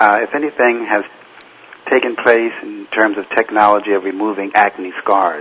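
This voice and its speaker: Noticeable background noise sits behind the recording. A man speaks with an American accent at a fairly low pitch. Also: ordinary pitch variation, moderate pace. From United States. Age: 60s. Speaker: studio audience member. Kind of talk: TV talk show interview.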